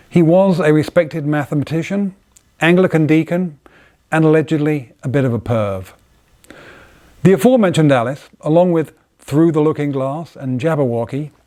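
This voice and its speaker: Pausing long and often at a moderate pace, a man with an English accent has a fairly high pitch, ordinary pitch variation and a dark, mellow tone. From England. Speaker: inventor and designer. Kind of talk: casual talk to camera. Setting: workshop by the fire.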